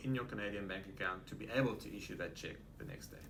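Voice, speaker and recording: Speaking at a very fast pace with fairly even intonation, a man with a South African accent is heard in audible room echo. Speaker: real estate agent. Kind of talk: interview. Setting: office.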